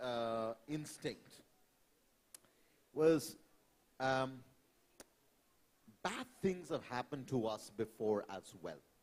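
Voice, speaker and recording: Speaking very slowly, a man talks with a Bengali accent. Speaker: climate panelist. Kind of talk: panel discussion. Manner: hesitant, many fillers.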